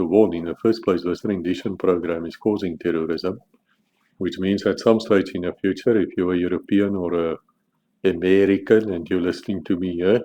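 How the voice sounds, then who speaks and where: A man talks at a moderate pace in a very deep, low voice. His tone is dark and mellow, with fairly even intonation. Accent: South African. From South Africa. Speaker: author. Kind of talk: casual monologue about his book.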